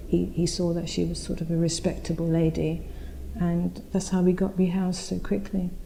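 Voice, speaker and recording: In an East End London accent, a woman speaks at a moderate pace in a fairly low, somewhat breathy voice with monotone, flat intonation and audible room echo. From East London (Spitalfields), moved from India aged four. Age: 60s. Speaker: oral history interviewee. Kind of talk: oral history interview. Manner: conversational, with frequent repetitions and fillers.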